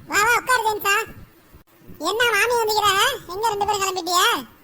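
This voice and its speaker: In a squeaky, cartoonish character voice, a woman talks at a moderate pace with extremely high pitch, very even loudness and fairly even intonation. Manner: easygoing, teasing.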